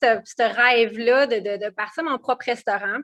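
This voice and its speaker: Here a woman talks at a fairly high pitch. Her pitch variation is ordinary. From Quebec, Quebec City and Montmagny region. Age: 30s. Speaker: entrepreneur. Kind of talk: interview. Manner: halting, many fillers.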